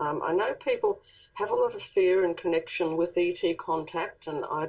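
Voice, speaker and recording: Here is a woman speaking. She has an Australian accent. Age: 60s. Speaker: author and contactee. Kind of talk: interview.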